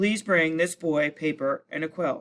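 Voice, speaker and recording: Speaking at a moderate pace, a man puts on a character voice with a fairly high pitch. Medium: read story.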